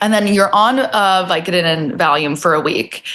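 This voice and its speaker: An animated woman with an American accent, medium-pitched and at a moderate pace. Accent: New Jersey, comes out at times. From New Jersey. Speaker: comedian. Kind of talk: casual chat. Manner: loud.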